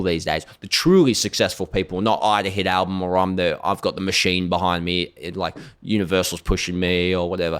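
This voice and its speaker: Speaking very fast in an animated tone, a man with an Australian accent has a very deep, low pitch, and the recording is very clean with a silent background. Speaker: singer-songwriter and social media personality. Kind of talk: podcast interview.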